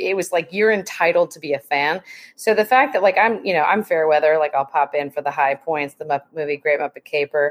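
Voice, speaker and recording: With a plain, everyday voice, a woman speaks at a fairly quick pace and a fairly low pitch, with ordinary pitch variation and a dry, close sound with no echo. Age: 40s. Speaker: podcast guest, muppet fan by marriage. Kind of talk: casual chat.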